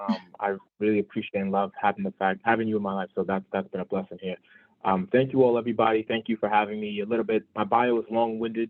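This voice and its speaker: The speaker has a New York accent and a monotone, flat intonation. The pace is very fast. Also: man, fairly low pitch for a man. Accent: New York City. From Brooklyn, New York (Brownsville). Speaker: financial advisor. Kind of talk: motivational talk.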